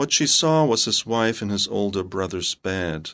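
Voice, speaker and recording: Against a quiet background, a man with a German accent speaks fairly slowly in a fairly low voice. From northern Germany. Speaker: novelist and creative writing professor. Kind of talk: radio interview. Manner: halting, with repeated words.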